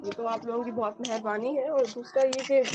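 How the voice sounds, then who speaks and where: Speaking at a moderate pace, a woman with a fairly high voice comes across dry and close, with no echo. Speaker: student. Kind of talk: testimonial feedback.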